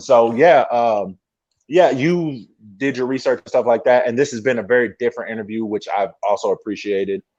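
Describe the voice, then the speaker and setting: Against a quiet background, a man with a plain, everyday voice and an American accent speaks at medium pitch with ordinary pitch variation and big swings in loudness. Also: fairly quick pace, dry, close sound with no echo. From Texas, Dallas-Fort Worth. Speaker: pro wrestler. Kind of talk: podcast interview.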